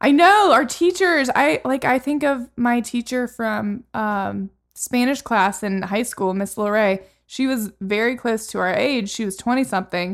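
On a very clean recording with a silent background, a woman with a plain, everyday voice speaks fairly slowly in a fairly high pitch with lively intonation. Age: 30s. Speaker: podcast co-host. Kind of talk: casual chat.

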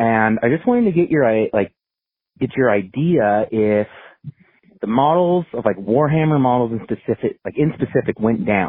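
Lively intonation runs through a man's normal speaking voice. He keeps a moderate pace. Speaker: caller. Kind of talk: casual voicemail message. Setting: phone call.

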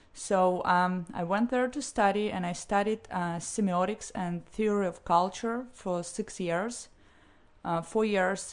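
This woman speaks with a Russian accent at a medium pitch. Her pace is fairly slow, with ordinary pitch variation. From St. Petersburg, Russia. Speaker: interview guest. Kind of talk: casual interview chat.

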